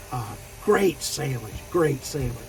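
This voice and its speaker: Amid noticeable background noise, a man with an American accent speaks at a fairly slow pace in a fairly high pitch with lively intonation. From Florida. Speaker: truck driver vlogger. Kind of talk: casual vlog monologue. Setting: parked at truck terminal. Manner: relaxed, storytelling.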